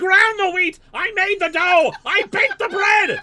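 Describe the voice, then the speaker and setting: In a put-on character voice, the speaker shouts at an extremely high pitch. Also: moderate pace. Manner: storytelling.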